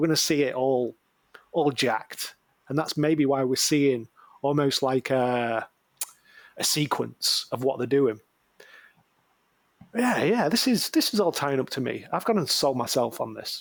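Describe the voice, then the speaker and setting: A man speaks with a northern English accent at a fairly slow pace. His pitch varies in an ordinary way, and he makes long, frequent pauses. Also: fairly high pitch for a man. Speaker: podcast co-host. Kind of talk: casual chat.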